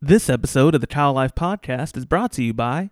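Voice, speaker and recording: In a very clean recording with a silent background and a dry, close sound with no echo, a man with an unremarkable speaking voice talks at a fairly quick pace and fairly high pitch. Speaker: podcast host. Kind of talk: casual interview. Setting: studio.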